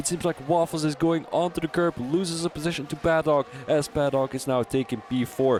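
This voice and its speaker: Music plays behind a man who speaks fairly quickly with a Dutch accent, his fairly high voice showing ordinary pitch variation. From Belgium. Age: 20s. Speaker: sim racing commentator. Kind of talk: live commentary. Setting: live stream. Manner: halting.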